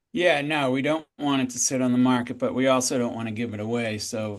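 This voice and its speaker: At a fairly quick pace, a man with a normal speaking voice talks at medium pitch with fairly even intonation. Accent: American. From Boston area. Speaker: real estate agent. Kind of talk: sales role play.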